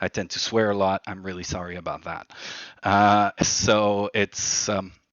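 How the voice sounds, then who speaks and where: Using monotone, flat intonation, a man with a French accent speaks at a fairly slow pace. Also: fairly low pitch for a man. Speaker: livery design workshop leader. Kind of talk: online workshop presentation. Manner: hesitant, many fillers.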